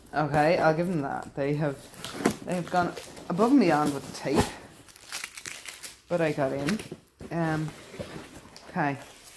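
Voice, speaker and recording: There is noticeable background noise as a woman speaks at a moderate pace. Her pitch is fairly low, and she leaves long, frequent pauses. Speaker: vlogger. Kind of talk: casual vlog.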